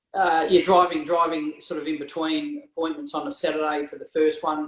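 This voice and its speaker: In a rural Australian accent, a man talks at a fairly quick pace with a fairly high pitch, monotone, flat intonation and big swings in loudness. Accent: Australian country twang. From rural Victoria, Australia (Hamilton). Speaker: real estate agent and auctioneer. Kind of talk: casual interview. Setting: video call.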